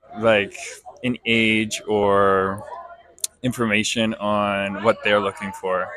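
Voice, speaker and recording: Against noticeable background noise, a man with a fairly low pitch talks at a very slow pace in a monotone, flat intonation, with long, frequent pauses. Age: 20s. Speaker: interviewee. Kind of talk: casual interview.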